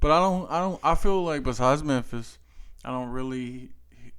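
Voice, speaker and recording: With a Louisiana accent, a man of medium pitch talks at a moderate pace, and the room echo is audible. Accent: Louisiana Southern US. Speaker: podcast host. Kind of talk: casual chat.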